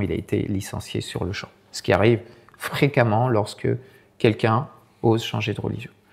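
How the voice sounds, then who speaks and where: A man speaks at a moderate pace. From France, Sarthe. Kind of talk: talk with storytelling. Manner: hesitant, many repetitions.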